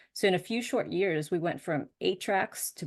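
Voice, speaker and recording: A woman's fairly low-pitched, fairly slow speech against a quiet background. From US Northeast, suburbs of Boston. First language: Spanish. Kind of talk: presentation talk.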